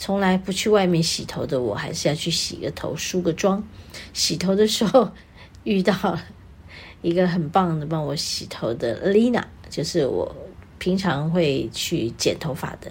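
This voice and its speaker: A woman talks at a fairly slow pace and a fairly low pitch, with vocal fry. Her intonation is lively. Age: 60s. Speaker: radio host and singer. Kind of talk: casual chat. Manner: animated.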